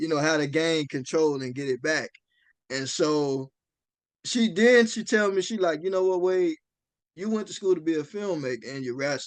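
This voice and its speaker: Against a quiet background, a man with an unremarkable speaking voice talks at a moderate pace, fairly high in pitch, with lively intonation. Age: young. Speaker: wrestler and funeral director. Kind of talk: interview conversation. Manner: casual, many fillers.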